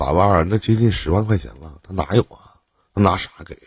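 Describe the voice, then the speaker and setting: A man with vocal fry at a moderate pace. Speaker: relationship advice host. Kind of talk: call-in advice chat.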